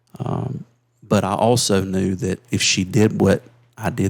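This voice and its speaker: Speaking with a South Carolina accent, a man uses a fairly low pitch. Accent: Southern US (South Carolina). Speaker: insurance agency leader. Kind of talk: interview storytelling.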